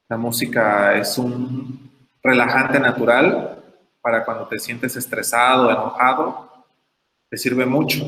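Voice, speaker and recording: A man's medium-pitched voice, bright and sharp in tone, with audible room echo. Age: 20s. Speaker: teacher giving a talk. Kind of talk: lecture.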